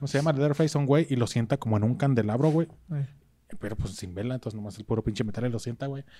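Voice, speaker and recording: A man with a Mexican accent talks at a very fast pace, his medium pitch showing ordinary pitch variation and a dark, mellow tone. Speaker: podcast host. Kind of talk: reading aloud; casual chat.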